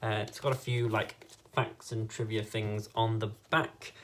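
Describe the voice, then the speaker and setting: A man talks at a fairly slow pace in a medium pitch. His voice is somewhat breathy. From northern England, Leeds, Yorkshire. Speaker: YouTuber and fan site editor. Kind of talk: reaction video.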